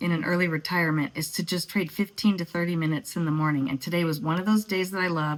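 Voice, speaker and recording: A woman with a normal speaking voice talks in a fairly low pitch with ordinary pitch variation. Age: 60s. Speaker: retiree day trader. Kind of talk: casual screen-share trading recap.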